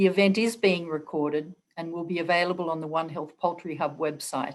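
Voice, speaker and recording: A woman with an Australian accent speaks at a moderate pace and a fairly low pitch, with fairly even intonation. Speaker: webinar moderator. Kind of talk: webinar moderation. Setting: video call.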